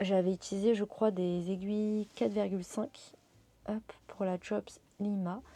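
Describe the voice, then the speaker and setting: A woman speaks at a medium pitch and a fairly slow pace, her tone dark and mellow. Her intonation stays fairly even, and the sound is dry and close with no echo. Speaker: crafting vlogger. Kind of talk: casual vlog. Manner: hesitant, many fillers.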